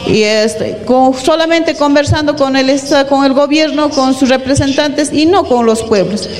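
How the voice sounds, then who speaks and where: High-pitched female speech at a fairly slow pace with ordinary pitch variation, noticeable background noise and audible room echo. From Peru, Arequipa. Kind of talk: panel talk.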